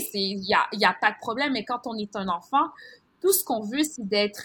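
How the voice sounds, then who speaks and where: A woman speaks with a fairly high pitch and ordinary pitch variation. The recording is very clean, with a silent background. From Montreal, Quebec (born in Haiti). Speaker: journalist. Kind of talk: interview. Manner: animated.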